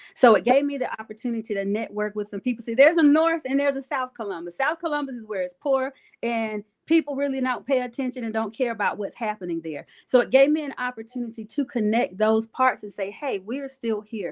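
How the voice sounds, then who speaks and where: In a very clean recording with a silent background and a dry, close sound with no echo, a woman speaks very fast at a high pitch, with ordinary pitch variation and hardly any pauses. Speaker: pastor and entrepreneur. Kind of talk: interview.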